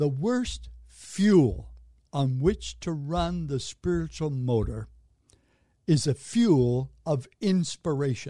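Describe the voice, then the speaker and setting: At a very slow pace, a man speaks at a fairly high pitch with lively intonation and a dark, mellow tone. His voice is somewhat breathy against a quiet background. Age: 80s. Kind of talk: casual interview.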